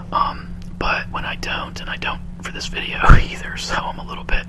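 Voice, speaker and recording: A man whispers over noticeable background noise. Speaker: ASMR video creator. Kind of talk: casual talk to camera. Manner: whispered, soft-spoken.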